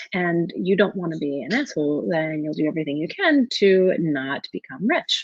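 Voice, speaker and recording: This is a woman's voice. Her pitch is fairly low. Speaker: life coach. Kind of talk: webinar presentation. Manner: fast.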